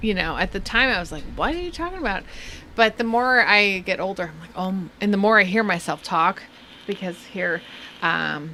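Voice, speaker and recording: A woman with a slight Southern California accent talks at a medium pitch with ordinary pitch variation and big swings in loudness. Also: moderate pace. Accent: slight Valley girl. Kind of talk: casual chat.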